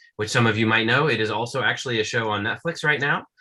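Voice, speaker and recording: A man speaks at a medium pitch with ordinary pitch variation. His tone is bright and sharp. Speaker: children's book author. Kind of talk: author talk to school classes on video call. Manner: fast; animated.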